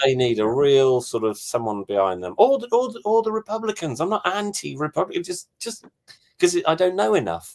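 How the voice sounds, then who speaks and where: This man has an English accent and a fairly high pitch. He talks at a fairly quick pace, his pitch swinging very widely. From England. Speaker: touring performer. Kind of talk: casual chat.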